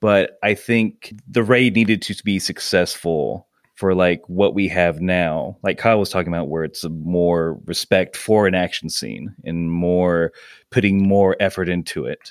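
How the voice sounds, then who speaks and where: In a very clean recording with a silent background, a man with an American accent speaks fairly slowly in a very deep, low voice with ordinary pitch variation. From US South, Georgia. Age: 30s. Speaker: comedy podcast co-host and improviser. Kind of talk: casual chat.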